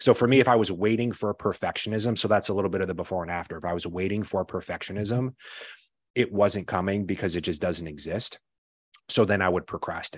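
Delivered at a very fast pace, the speech shows ordinary pitch variation. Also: man, fairly low pitch for a man. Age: 30s. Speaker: comedian and writer, mental health app creative. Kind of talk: casual interview conversation.

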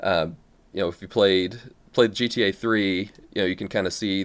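At a fairly quick pace, a man with fairly low pitch and fairly even intonation speaks in a very clean recording with a silent background. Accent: Midwestern American. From US Midwest. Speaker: Twitch streamer and gamer. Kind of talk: casual chat.

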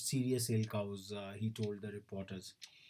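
A man speaking at a moderate pace. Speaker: news bulletin presenter. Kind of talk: news bulletin read aloud, steady reading of headlines to educators and students. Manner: formal, measured newsreader pace, with occasional filler hesitations.

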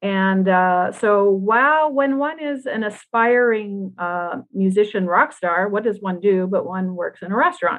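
Lively intonation marks this woman's medium-pitched delivery in a normal speaking voice. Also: fairly slow pace, hardly any pauses. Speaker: former rock musician and author. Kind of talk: casual interview.

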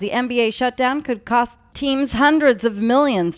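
A woman's high voice carries lively intonation as she talks at a moderate pace. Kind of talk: news reading. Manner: formal, brisk, steady newscaster delivery.

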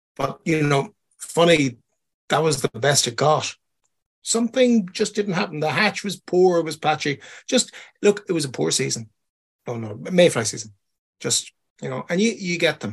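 Against a quiet background, a man with an Irish accent speaks at a moderate pace in a fairly high pitch, swinging very widely in pitch and leaving long, frequent pauses. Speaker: podcast co-host and fishing guide. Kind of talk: casual chat. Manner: rambling, many fillers.

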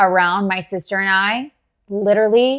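A woman with a Texan accent and fairly even intonation. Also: quiet background. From Texas, Dallas area. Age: 30s. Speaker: therapist and entrepreneur. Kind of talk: casual interview. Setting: video podcast.

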